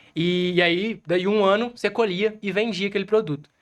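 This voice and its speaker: Fairly quick speech from a man, with a quiet background. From Minas Gerais, Brazil (Zona da Mata). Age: 20s. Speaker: small business owner. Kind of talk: podcast interview.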